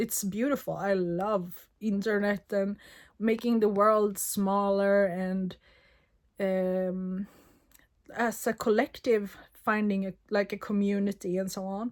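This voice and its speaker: A woman's monotone, flat delivery at a very slow pace on a very clean recording with a silent background. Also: medium pitch for a woman. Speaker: spiritual vlogger. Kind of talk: personal reflection monologue. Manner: halting.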